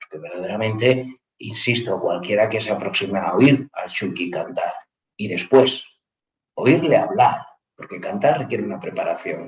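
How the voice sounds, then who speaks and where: Big swings in loudness mark this man's speech. He keeps a moderate pace. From Andalusia, Cádiz. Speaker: university professor. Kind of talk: panel discussion.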